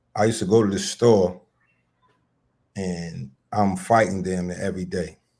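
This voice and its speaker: Speaking with an American accent, a man with a very deep, low pitch and a dark, mellow tone keeps a moderate pace and fairly even intonation, with long, frequent pauses. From Mississippi and Philadelphia. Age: 50s. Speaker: podcast co-host. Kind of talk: casual chat.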